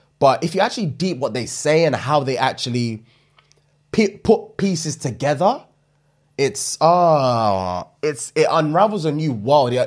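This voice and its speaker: A man with a London accent, very wide pitch swings and a fairly slow pace against a quiet background. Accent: London multicultural English. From UK. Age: 30s. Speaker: comedy podcast co-host. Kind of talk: casual chat. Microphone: studio mic.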